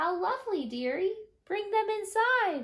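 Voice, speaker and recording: A squeaky, put-on character voice at an extremely high pitch speaks at a moderate pace. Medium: read story. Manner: wheedling.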